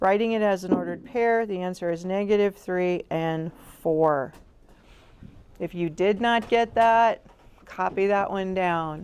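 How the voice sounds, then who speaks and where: At a fairly slow pace, a woman with a medium-pitched voice and ordinary pitch variation pauses long and often. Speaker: math teacher. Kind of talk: tutorial. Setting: classroom.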